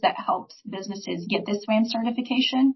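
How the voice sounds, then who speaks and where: A woman with an unremarkable speaking voice talks at a moderate pace in a fairly high pitch, her intonation fairly even. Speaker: small business advisor. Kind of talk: presentation.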